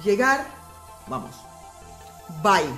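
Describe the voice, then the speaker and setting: A woman with an Aruban accent speaks with very wide pitch swings, music playing in the background. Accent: Aruban, non-native Spanish. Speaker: language teacher vlogger. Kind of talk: casual language lesson to camera.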